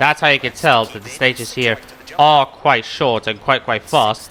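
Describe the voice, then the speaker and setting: There's a man talking. Background noise is clearly audible. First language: not English. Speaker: gaming youtuber. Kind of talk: video game commentary. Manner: casual, occasionally stumbling over words.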